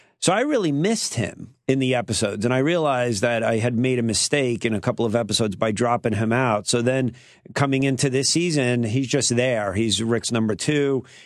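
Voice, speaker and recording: Speaking fairly quickly with a New York accent, a man keeps his loudness very even, takes hardly any pauses, and uses ordinary pitch variation. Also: medium pitch for a man. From Queens, New York. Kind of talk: radio interview. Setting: studio.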